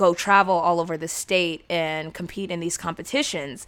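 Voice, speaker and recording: A woman with an American accent and a fairly low pitch speaks in an ordinary speaking voice at a moderate pace with fairly even intonation, in a very clean recording with a silent background. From San Diego, California. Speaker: former speech competitor and forensics coach. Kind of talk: casual interview chat.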